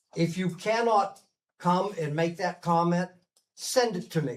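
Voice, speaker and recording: High pitch from a man, with ordinary variation in pitch. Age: 70s. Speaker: mayor chairing city council meeting. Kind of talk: public meeting announcements. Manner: halting with frequent fillers.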